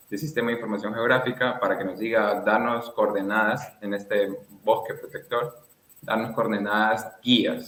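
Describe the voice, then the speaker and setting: A man talks at a moderate pace in a normal speaking voice. His pitch is medium, with fairly even intonation. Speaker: conservation foundation president, fieldwork researcher. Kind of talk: radio interview answer.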